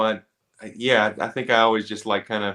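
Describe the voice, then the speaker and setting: A man's bright, sharp voice with an American accent. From Georgia, US South (Conyers). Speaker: actor. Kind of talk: podcast interview. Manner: hesitant, many repeated words and fillers.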